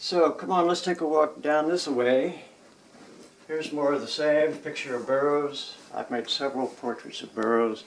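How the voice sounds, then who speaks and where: A man talks at a moderate pace with an American accent and a fairly high pitch. His pitch varies in an ordinary way, and there is noticeable background noise. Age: 70s. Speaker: photographer and collage artist. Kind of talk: casual home tour talk. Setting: indoors at home studio.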